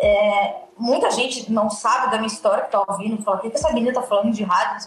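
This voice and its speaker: A woman talks over noticeable background noise. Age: 30s. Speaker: radio personality and podcaster. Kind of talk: casual chat.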